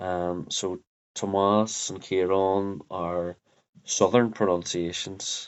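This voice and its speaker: A man in a Derry accent, very deep and low, with monotone, flat intonation. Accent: Northern Irish (Derry). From Northern Ireland, Derry. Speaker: Irish language teacher. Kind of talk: tutorial. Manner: halting, many fillers.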